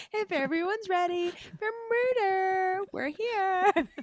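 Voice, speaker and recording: Put on as a character voice, the delivery is bubbly in tone and fairly slow in pace. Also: female-sounding voice, extremely high pitch for a woman. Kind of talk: perky, upbeat. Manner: bubbly, chirpy.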